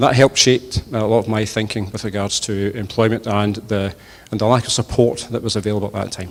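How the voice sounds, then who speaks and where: A man with a west of Scotland accent speaks very fast at a fairly low pitch, keeping his intonation fairly even. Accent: west of Scotland Scottish. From Scotland, Inverclyde. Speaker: politician. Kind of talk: hustings speech. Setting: church with audience. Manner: hesitant, many fillers.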